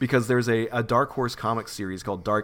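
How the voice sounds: Fairly even intonation in a natural reading voice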